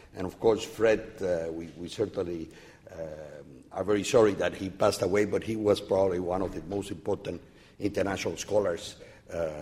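At a moderate pace, a man speaks with a fairly low pitch, a dark, mellow, somewhat breathy tone and fairly even intonation, with audible room echo. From Cuba. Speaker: academic. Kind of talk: lecture. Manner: halting.

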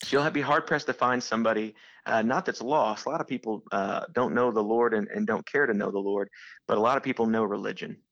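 A man speaks at a fairly quick pace in an ordinary speaking voice, medium in pitch with ordinary pitch variation, against a quiet background. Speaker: church planter and missionary. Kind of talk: casual interview.

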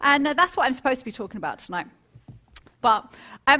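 An American accent carries a woman's high, bright, sharp voice, raised and projected. She sounds animated, with very wide pitch swings. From California, then Hertfordshire England. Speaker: author and entrepreneur. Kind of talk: public lecture. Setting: stage with audience. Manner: animated, conversational.

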